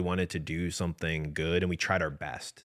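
In a very clean recording with a silent background, a man speaks. He has an American accent and a moderate pace. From US Midwest. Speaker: podcast co-host. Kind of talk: casual chat. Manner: frequent filler word like.

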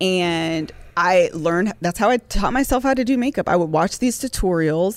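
A woman with an American accent and a normal speaking voice talks at a moderate pace in a fairly low pitch. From Ohio, US Midwest. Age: 30s. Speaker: podcast host. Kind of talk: casual chat.

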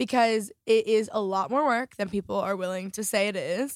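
A normal speaking voice from a woman, fairly high in pitch with ordinary pitch variation, at a moderate pace, dry and close with no echo, on a very clean recording with a silent background. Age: 20s. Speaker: lifestyle vlogger and podcast host. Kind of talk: casual interview chat.

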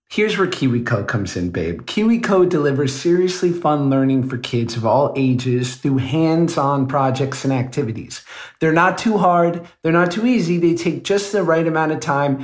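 Here is a man with a plain, everyday voice and a fairly high pitch. He talks at a moderate pace with lively intonation and hardly any pauses. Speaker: podcast co-host. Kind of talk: casual chat and ad reads.

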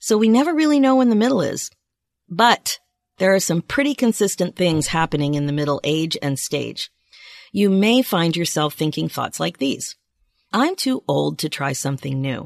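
Against a quiet background, a woman with an American accent speaks at a fairly low pitch with very wide pitch swings, in a dry, close sound with no echo. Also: moderate pace. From US East Coast, Philadelphia area. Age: 50s. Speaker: podcast host and life coach. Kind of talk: solo podcast monologue. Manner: upbeat, animated.

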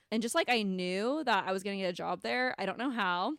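With an American accent and an unremarkable speaking voice, a woman of medium pitch speaks at a fairly quick pace on a very clean recording with a silent background and a dry, close sound with no echo. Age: 20s. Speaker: podcast co-host. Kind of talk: casual chat.

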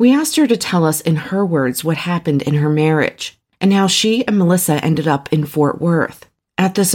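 A woman with a fairly low pitch, an unremarkable speaking voice, very even loudness, a moderate pace and ordinary pitch variation. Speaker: podcast host. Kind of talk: true-crime narration. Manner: measured, serious, storytelling tone.

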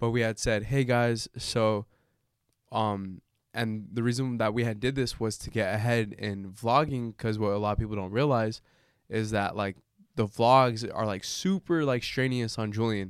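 A normal speaking voice at a moderate pace. The intonation stays fairly even. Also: man, medium pitch for a man, very clean recording, silent background. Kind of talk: casual chat, banter over drinks.

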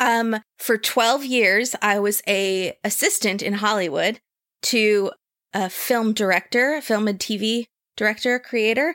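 An unremarkable speaking voice moves at a fairly slow pace with ordinary pitch variation. The recording is dry and close, with no echo. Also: woman, fairly high pitch for a woman. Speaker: podcast host. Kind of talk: casual chat.

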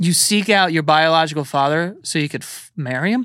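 With a New York accent, a man speaks at a moderate pace in a bright, sharp tone, fairly high in pitch, with ordinary pitch variation. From New York City, Queens. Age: 30s. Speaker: podcaster and internet personality. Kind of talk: casual chat. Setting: studio.

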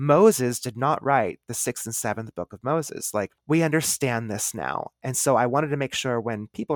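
A man speaks at medium pitch and a moderate pace with ordinary pitch variation, in a plain, everyday voice. The recording is very clean, dry and close, with no echo and a silent background. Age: 30s. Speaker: witchcraft author and podcaster. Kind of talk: casual interview chat.

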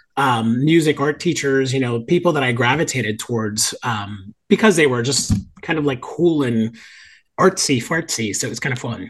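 A man's somewhat breathy, medium-pitched voice with lively intonation, a moderate pace and a slight Southern US accent, over a quiet background. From Miami, Florida. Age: 50s. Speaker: podcast guest, theater lover. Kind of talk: casual chat. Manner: animated.

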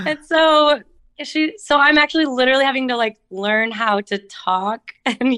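A woman speaks at a high pitch with lively intonation and a clear, smooth, fairly bright tone.

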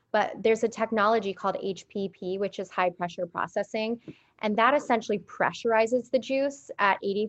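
With an American accent, a woman with a normal speaking voice talks at a fairly quick pace, her fairly high pitch showing ordinary variation. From Phoenix, Arizona. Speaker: beauty brand founder. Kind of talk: interview. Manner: casual, filler-heavy.

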